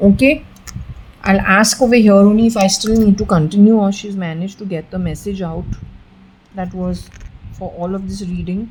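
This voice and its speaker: Somewhat breathy, a woman talks at a moderate pace and medium pitch with fairly even intonation, long, frequent pauses and big swings in loudness. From India. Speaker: occultist, psychic reader. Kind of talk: solo spiritual reading session, talking to a spirit. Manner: casual, conversational.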